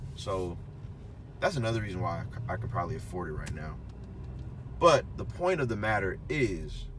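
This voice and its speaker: At a moderate pace, a man speaks with long, frequent pauses and audible room echo. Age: 20s. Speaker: car reviewer. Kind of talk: casual talk-to-camera review. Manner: halting, many fillers.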